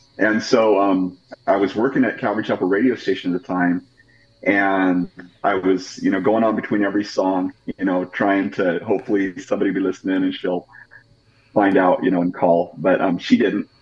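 Over noticeable background noise, a man with an American accent talks at a fairly quick pace. His voice sits at a fairly low pitch, with fairly even intonation. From Idaho, Pocatello area. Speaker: pastor. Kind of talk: interview.

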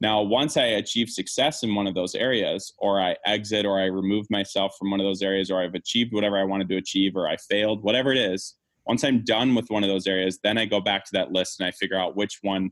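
Talking at a very fast pace, a man with a fairly low pitch keeps his loudness very even and his intonation fairly even. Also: hardly any pauses. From small rural US township. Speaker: entrepreneur. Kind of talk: interview.

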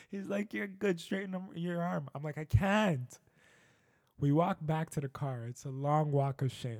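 A man with a normal speaking voice talks at a fairly high pitch with lively intonation. The recording is very clean with a silent background, and the sound is dry and close with no echo. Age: 30s. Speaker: podcast host. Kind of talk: solo monologue. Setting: home studio. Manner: casual, conversational with many fillers.

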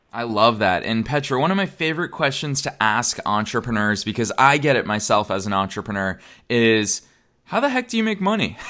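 An upbeat, enthusiastic man talks at a fairly quick pace and medium pitch, his tone bright and sharp and his intonation lively. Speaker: podcast host. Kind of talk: casual interview.

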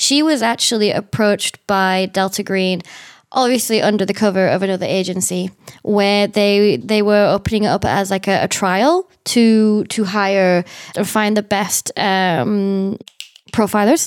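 A woman with a British accent speaks at a fairly slow pace, medium in pitch with ordinary pitch variation. Her loudness stays very even on a very clean recording with a silent background. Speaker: podcast host and tabletop roleplay player. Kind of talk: tabletop roleplay, casual chat. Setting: around a table in person.

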